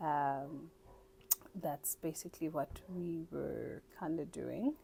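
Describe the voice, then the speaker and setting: Very slowly, a woman speaks in a very deep, low pitch with a dark, mellow tone, vocal fry and fairly even intonation. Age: 20s. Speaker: poultry farmer and hatchery owner. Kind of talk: casual interview. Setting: seated on a couch indoors.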